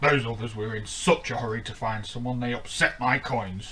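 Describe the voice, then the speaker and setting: A man puts on a growling, rumbling character voice at a medium pitch with fairly even intonation. He keeps a moderate pace over clear background noise. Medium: read story. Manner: growling, grumbling.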